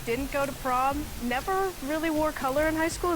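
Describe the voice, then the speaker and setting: Noticeable background noise and audible room echo surround the speaker. A woman talks at a fairly quick pace with ordinary pitch variation. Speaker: game show contestant. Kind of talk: reality show confession. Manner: stutters.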